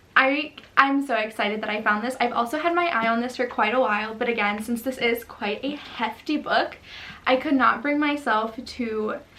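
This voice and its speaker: Her tone is animated as this woman talks at a moderate pace with a high pitch. There is noticeable background noise. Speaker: book youtuber. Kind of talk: casual chat.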